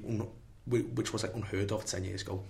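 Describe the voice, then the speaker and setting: Monotone, flat intonation from a somewhat breathy man, with audible room echo. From St Helens, Merseyside, England. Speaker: politics undergraduate student. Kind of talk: casual panel discussion. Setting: studio.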